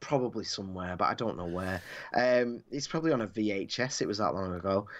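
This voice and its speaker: With a Mancunian accent, a man talks at a very fast pace and a fairly low pitch, his pitch varying in an ordinary way against a quiet background. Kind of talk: casual chat. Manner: animated.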